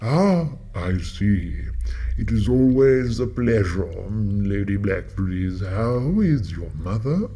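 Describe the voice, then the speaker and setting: A man puts on a character voice at a fairly low pitch and a very slow pace, with noticeable background noise. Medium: audio drama. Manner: courteous, old-fashioned.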